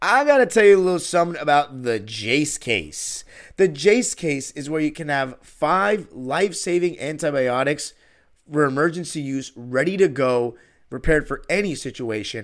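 In a very clean recording with a silent background, a man with an American accent uses an ordinary speaking voice, fairly high in pitch, with lively intonation at a moderate pace. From Los Angeles, California. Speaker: podcast host, basketball fan. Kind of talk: infomercial-style sponsor ad read, promotional pitch; sports podcast monologue. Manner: polished, upbeat salesman tone; steady, persuasive, reassuring pace.

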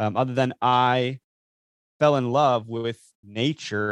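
A man speaks in a flat monotone, recorded dry and close with no echo against a quiet background. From Wisconsin. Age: 30s. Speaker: outdoor marketing business owner and hunter. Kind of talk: casual interview chat.

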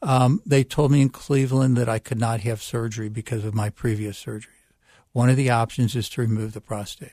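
The voice is somewhat breathy with a dark, mellow tone. It moves at a fairly quick pace with fairly even intonation. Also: man, medium pitch for a man, very clean recording, silent background. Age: 70s. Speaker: retired dentist and prostate cancer advocate. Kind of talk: interview.

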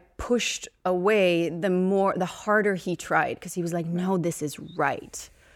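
A woman talks with a Swedish accent. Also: very clean recording, silent background. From Sweden, Uppsala. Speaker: actress and entrepreneur. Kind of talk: casual chat.

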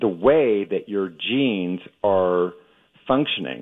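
A man's fairly low voice at a very slow pace, with lively intonation. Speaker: ophthalmologist. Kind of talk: radio interview. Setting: remote, not on video.

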